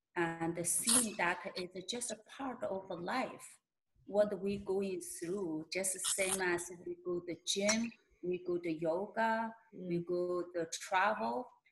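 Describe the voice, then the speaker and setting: At a very slow pace, a woman with a Mongolian accent speaks in a somewhat breathy voice with ordinary pitch variation. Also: medium pitch for a woman. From Inner Mongolia, China. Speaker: shaman and healer. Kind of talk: interview answer.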